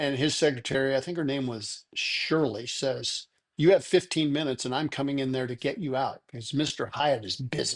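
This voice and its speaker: Speaking at a moderate pace with hardly any pauses, a man with an American accent uses a fairly high pitch and ordinary pitch variation. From Nebraska, US Midwest. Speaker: shoe industry entrepreneur. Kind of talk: podcast interview. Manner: animated storytelling.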